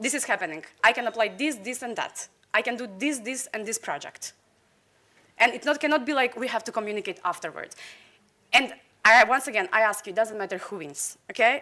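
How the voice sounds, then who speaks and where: On a very clean recording with a silent background, a woman speaks at a fairly quick pace and a fairly high pitch, her tone passionate, bright and sharp, her pitch varying normally, with long, frequent pauses. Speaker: candidate for association president. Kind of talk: campaign speech. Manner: fast.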